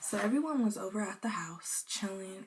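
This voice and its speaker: A woman talks fairly slowly, her fairly high pitch showing ordinary variation. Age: young. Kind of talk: casual storytime talk to camera. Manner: casual, chatty.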